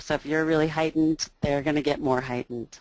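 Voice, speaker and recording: A woman's voice with a very deep, low pitch. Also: dry, close sound with no echo. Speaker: early childhood special education teacher. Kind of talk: webinar presentation.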